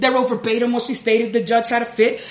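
A high-voiced woman with an American accent against noticeable background noise. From Chicago South Side. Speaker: comedian. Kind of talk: live storytelling. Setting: stage with audience. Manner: giggly, halting.

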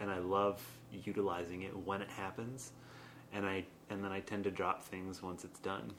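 A plain, everyday voice from a man, fairly low in pitch, with fairly even intonation at a moderate pace. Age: 20s. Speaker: improv comedian and performer. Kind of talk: casual chat.

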